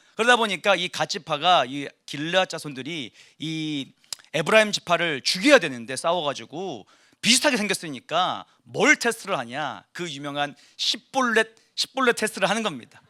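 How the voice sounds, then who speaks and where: Dry and close with no echo, on a very clean recording with a silent background, a man speaks at a moderate pace in a high, bright, sharp voice, his tone animated and his pitch swinging very widely. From South Korea, Gyeongsang (Ulsan). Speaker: pastor. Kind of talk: sermon. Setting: church service.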